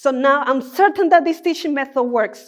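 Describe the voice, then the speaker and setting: Over a quiet background, a woman in a Spanish accent talks at a fairly quick pace with lively intonation. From Colombia. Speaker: doctoral researcher and Spanish teacher. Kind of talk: three-minute thesis talk.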